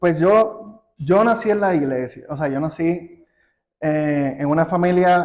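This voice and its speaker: A man with a Puerto Rican accent speaks very slowly at a high pitch. His pitch variation is ordinary. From Puerto Rico. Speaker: church member. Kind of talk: interview. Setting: studio. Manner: halting, repeats words.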